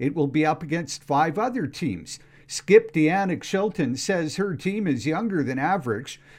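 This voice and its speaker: This man has a high-pitched voice and speaks with lively intonation. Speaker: radio newsreader. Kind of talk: radio newscast, crisp scripted newsreading delivered straight to the listener. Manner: steady, formal, even-paced.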